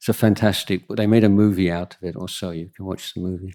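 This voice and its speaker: This man has a fairly low voice. He speaks with an English accent. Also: very clean recording, silent background. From England. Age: 60s. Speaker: Buddhist monk. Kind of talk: Q&A talk. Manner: halting.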